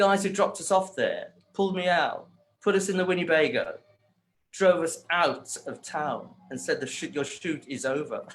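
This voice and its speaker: A man with a Birmingham accent at a moderate pace. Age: 60s. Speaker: hairdresser. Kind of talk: interview.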